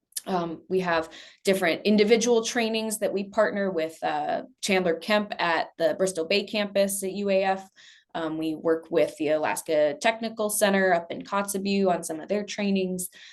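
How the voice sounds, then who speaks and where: A woman with a normal speaking voice talks at a moderate pace in a medium pitch, with ordinary pitch variation over a quiet background. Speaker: energy education program lead. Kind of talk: presentation. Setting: task force meeting.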